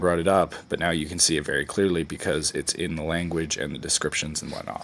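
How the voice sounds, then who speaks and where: Over noticeable background noise, a man talks at a very fast pace. His intonation is fairly even. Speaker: video blogger doing experiments. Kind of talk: casual vlog monologue. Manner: halting.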